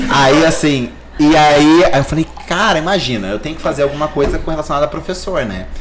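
A man talks fairly quickly in a fairly high pitch, with lively intonation. Noticeable background noise runs under his voice. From Paraná, Brazil (Maringá area). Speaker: plastic surgeon. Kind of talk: casual chat.

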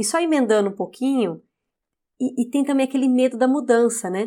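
A woman's ordinary speaking voice at a fairly quick pace, with ordinary pitch variation. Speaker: podcast host. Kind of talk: interview.

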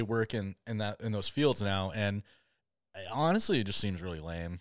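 A man with an unremarkable speaking voice and an American accent talks at a moderate pace with lively intonation. The recording is very clean, with a silent background. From Michigan, US. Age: 30s. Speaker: podcast host, hunter. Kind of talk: casual chat.

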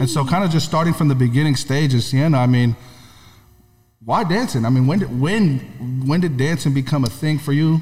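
Speaking at a fairly quick pace, a man with an American accent has a medium-pitched, somewhat breathy voice with ordinary pitch variation. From California. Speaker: podcast co-host. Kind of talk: casual interview.

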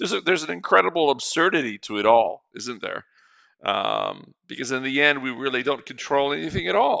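A man's medium-pitched voice with vocal fry, at a fairly quick pace. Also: lively intonation. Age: 50s. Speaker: podcast host and poetry reader. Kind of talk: solo reflective monologue. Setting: at home alone. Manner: halting, many fillers and repetitions; frequent laughter.

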